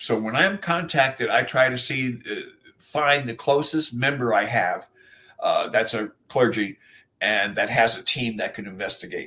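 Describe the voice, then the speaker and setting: A man with an unremarkable speaking voice talks at a fairly slow pace with ordinary pitch variation. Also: medium pitch for a man. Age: 60s. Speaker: exorcist clergyman. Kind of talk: interview.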